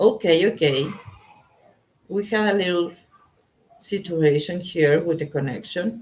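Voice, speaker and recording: A woman with a Spanish accent speaks fairly slowly at a fairly low pitch, her pitch varying in an ordinary way and her speech broken by long, frequent pauses. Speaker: tarot reader. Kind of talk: live tarot reading stream. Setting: live online broadcast. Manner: halting.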